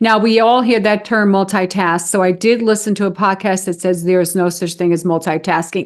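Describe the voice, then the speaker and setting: A woman speaks at a moderate pace with hardly any pauses, medium pitch and fairly even intonation, in an ordinary speaking voice. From New York City (Bronx). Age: 60s. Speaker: wedding officiant and dating coach. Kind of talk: podcast interview.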